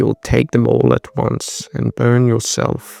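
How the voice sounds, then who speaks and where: A man's creaky put-on character voice at a fairly slow pace. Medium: read story. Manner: tired, solemn.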